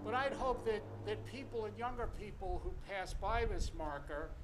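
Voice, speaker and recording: A man talks at a moderate pace, with audible room echo and noticeable background noise behind him. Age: 70s. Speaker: speaker at a marker dedication. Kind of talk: ceremonial speech. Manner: halting with fillers.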